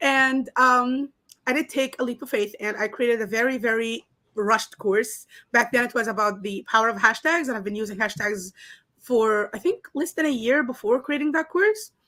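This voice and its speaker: With a bright, sharp tone and a high pitch, a woman speaks with ordinary pitch variation on a very clean recording with a silent background. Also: moderate pace. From Egypt. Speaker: online course creator. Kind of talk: interview.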